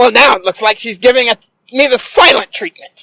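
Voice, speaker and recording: A man's put-on character voice, extremely high-pitched, raised and projected, at a fairly quick pace. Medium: comedy sketch. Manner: cranky, grumbling.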